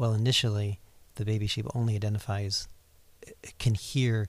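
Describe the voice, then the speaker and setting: A man with an American accent speaks somewhat breathily at a fairly low pitch, his intonation monotone and flat. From Ohio, US Midwest. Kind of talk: casual interview, personal testimony.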